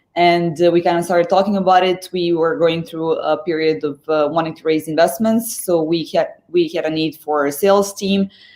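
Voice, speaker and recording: At a moderate pace, a woman with a slight Serbian accent talks at a fairly low pitch with fairly even intonation. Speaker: sales executive. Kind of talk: interview. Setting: live stream. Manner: halting.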